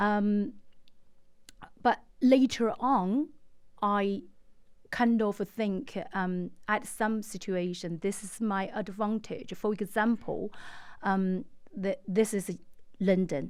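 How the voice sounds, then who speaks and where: A woman with a Chinese accent speaks at a very slow pace with long, frequent pauses and ordinary pitch variation, on a very clean recording with a silent background. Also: medium pitch for a woman. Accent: Mandarin Chinese. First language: Mandarin. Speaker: estate agent. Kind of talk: interview. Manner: halting, many fillers.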